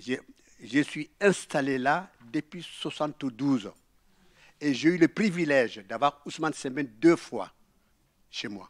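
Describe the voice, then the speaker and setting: In a very clean recording with a silent background, a man with a fairly high pitch and lively intonation speaks at a very slow pace, taking long, frequent pauses amid big swings in loudness. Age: 80s+. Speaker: audience member. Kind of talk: audience testimony.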